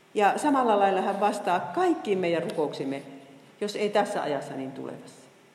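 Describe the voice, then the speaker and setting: Over noticeable background noise and audible room echo, a woman at medium pitch speaks at a moderate pace with lively intonation. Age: 60s. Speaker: Bible teacher. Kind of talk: lecture. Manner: halting.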